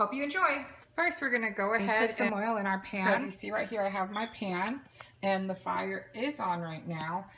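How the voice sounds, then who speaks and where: A woman with a medium-pitched voice talks at a moderate pace. Her intonation is lively, with noticeable background noise behind her. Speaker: mother. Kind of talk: casual cooking tutorial to camera.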